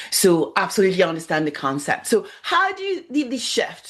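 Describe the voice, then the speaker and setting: This woman has a non-native accent. She talks at a moderate pace. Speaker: podcast host. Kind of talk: podcast interview.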